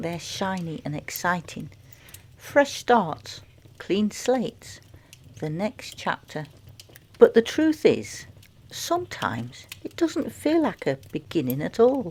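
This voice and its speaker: Soft-spoken and somewhat breathy, a woman talks with a dark, mellow tone at a fairly high pitch, her pitch swinging very widely. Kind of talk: reflective fireside chat. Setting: crackling fire in background. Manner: soft-spoken, gentle.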